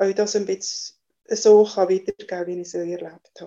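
A woman's monotone, flat intonation. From Valais, Switzerland. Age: 60s. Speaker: mother of the host, telling her birth stories. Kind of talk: personal testimony. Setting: video call.

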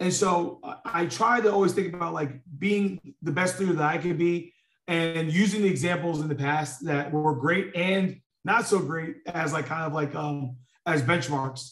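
Speaking with a New York accent, a man holds a moderate pace. His pitch is high, with ordinary variation. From New York (Queens). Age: 30s. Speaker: corporate leader. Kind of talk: interview conversation. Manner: halting, many fillers.

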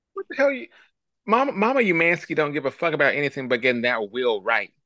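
An animated man races along at a very fast pace, his bright, sharp voice making very wide pitch swings in a dry, close sound with no echo. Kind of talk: casual chat.

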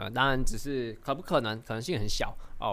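There is audible room echo as a man talks at a fairly quick pace. His pitch is medium, with ordinary variation. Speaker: stock market podcast host. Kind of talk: casual explainer monologue. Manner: many fillers and hesitations.

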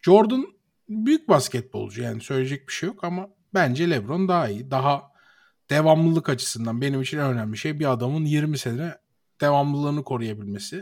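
With an ordinary speaking voice, a man talks at a moderate pace with lively intonation and fairly high pitch, captured in a very clean recording with a silent background. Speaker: podcast co-host. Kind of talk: casual chat.

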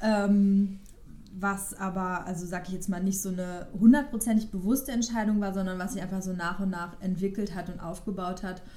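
Dark and mellow in tone, a woman's medium-pitched voice moves at a moderate pace with fairly even intonation and audible room echo. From Westphalia, Ruhr area, Germany. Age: 30s. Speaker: podcast co-host. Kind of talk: casual chat.

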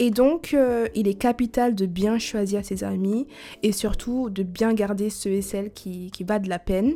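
A woman with a non-native accent, very slow and medium-pitched, dark and mellow in tone with ordinary pitch variation, on a very clean recording with a silent background. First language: not French (speaking French). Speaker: podcast host. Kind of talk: monologue to listeners; casual chat. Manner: halting.

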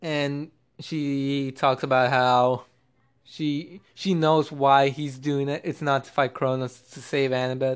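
Against a quiet background, a man with a fairly high voice talks at a very slow pace in a monotone, flat intonation. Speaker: podcast host. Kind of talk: casual solo monologue. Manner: halting, many restarts.

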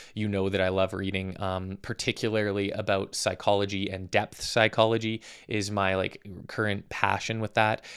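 On a very clean recording with a silent background, a man speaks at a moderate pace. His pitch is fairly low and his intonation monotone and flat. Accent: Western Canadian. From Calgary, Alberta, Canada. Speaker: fitness coach and podcast host. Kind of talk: casual monologue. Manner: casual, with frequent filler words.

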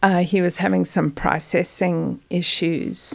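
A woman speaks fairly slowly in a South African accent. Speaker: parent. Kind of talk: casual chat.

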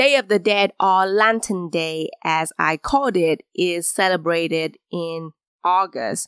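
A woman with a Vietnamese accent speaks very slowly against a quiet background. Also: dry, close sound with no echo. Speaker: podcast host. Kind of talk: solo storytelling monologue.

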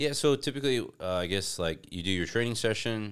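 A man with an American accent and lively intonation, on a very clean recording with a silent background. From United States. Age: 30s. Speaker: fitness entrepreneur. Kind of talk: casual chat. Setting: in-person home recording setup.

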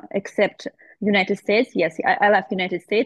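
This woman speaks with a Russian accent. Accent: Russian accent, non-native English. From Russia, small town. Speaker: painter and tattoo artist. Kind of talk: interview. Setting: video call. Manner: halting.

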